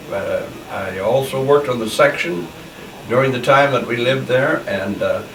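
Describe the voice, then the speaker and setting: A man with a Midwestern US accent speaks at a medium pitch. Audible room echo and noticeable background noise surround him. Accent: US Midwest. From Nebraska. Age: 80s+. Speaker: elderly local resident. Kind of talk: oral history interview. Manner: halting.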